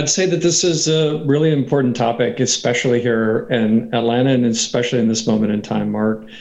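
A man with a normal speaking voice talks at a fairly quick pace with an American accent, his pitch medium and his pitch variation ordinary. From Texas, Katy near Houston. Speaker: venture capitalist. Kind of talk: interview.

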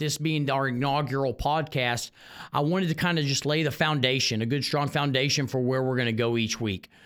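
At a fairly quick pace, a man talks with a Texan accent. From Houston, Texas. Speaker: high school football coach. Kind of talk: solo sports podcast monologue. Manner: halting, frequent repeated words.

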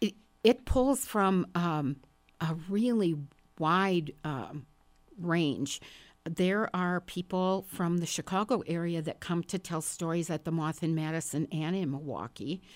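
Here is a woman with an American accent and an unremarkable speaking voice, pitched fairly low, with ordinary pitch variation. She talks at a fairly slow pace on a very clean recording with a silent background. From northern Wisconsin, small town. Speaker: writer and stand-up comedian. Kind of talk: casual interview chat.

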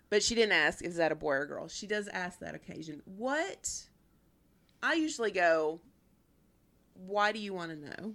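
With long, frequent pauses and lively intonation, a woman talks in a Tennessee accent on a very clean recording with a silent background. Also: medium pitch for a woman, moderate pace, big swings in loudness. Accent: US Southern (Tennessee). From Nashville, Tennessee (Antioch). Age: 50s. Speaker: podcast co-host. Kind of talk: casual chat.

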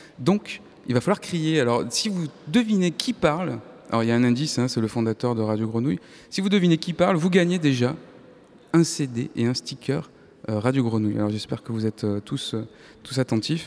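Talking at a fairly quick pace, a man with a medium-pitched voice and lively intonation leaves long, frequent pauses. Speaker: radio host. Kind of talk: live public radio show. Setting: live in arts centre hall with audience.

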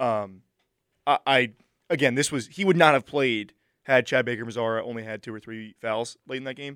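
A man with a plain, everyday voice, medium pitch and ordinary pitch variation, on a very clean recording with a silent background. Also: dry, close sound with no echo. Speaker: sports talk co-host. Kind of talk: casual sports banter. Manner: quick, sarcastic, joking.

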